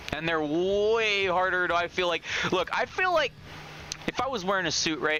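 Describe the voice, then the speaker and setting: A high-pitched man's voice at a fairly quick pace amid noticeable background noise. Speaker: gaming streamer. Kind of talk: live gameplay commentary. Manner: stutters when excited; casual, profane.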